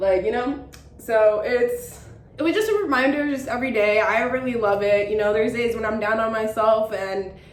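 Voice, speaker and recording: A fairly high-pitched woman at a moderate pace, with fairly even intonation, audible room echo and noticeable background noise. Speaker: lifestyle vlogger. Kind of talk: casual chat. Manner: halting; filler-heavy.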